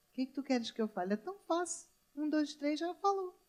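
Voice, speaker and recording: A woman speaks with a strong Rio de Janeiro accent. Her intonation is lively. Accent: Rio de Janeiro (carioca) accent, still strong. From Brazil, Rio de Janeiro. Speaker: pastor. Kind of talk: sermon. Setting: church.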